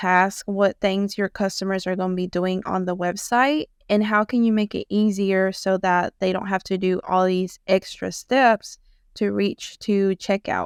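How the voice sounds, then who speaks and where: On a very clean recording with a silent background and a dry, close sound with no echo, a woman with a slight Southern US accent speaks at a fairly slow pace, her medium pitch held in fairly even intonation. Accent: slight Southern US country. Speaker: Shopify web designer. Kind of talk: podcast interview.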